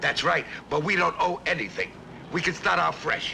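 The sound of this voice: Over faint background noise, a man puts on a character voice with a bright, sharp tone, vocal fry and big pitch swings. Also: fairly high pitch for a man, moderate pace.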